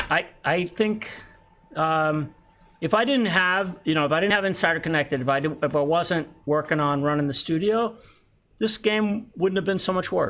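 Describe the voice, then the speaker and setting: A man's high-pitched voice, bright and sharp in tone, with very even loudness. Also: ordinary pitch variation, moderate pace, very clean recording, silent background. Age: 60s. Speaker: pinball game designer and creative executive. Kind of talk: casual live stream Q&A. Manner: halting, many repeated words.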